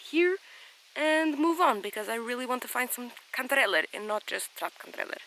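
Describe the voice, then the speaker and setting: A woman speaks at a fairly quick pace in a raised, projected voice, her high pitch swinging very widely over noticeable background noise. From Portugal. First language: Portuguese. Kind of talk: casual vlog talk to camera. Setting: outdoors in a forest.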